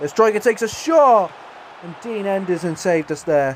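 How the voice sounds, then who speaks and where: A man with an English accent speaks at a fairly quick pace and ordinary pitch variation, with noticeable background noise. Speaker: gaming YouTuber. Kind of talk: gameplay commentary. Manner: animated; stuttering.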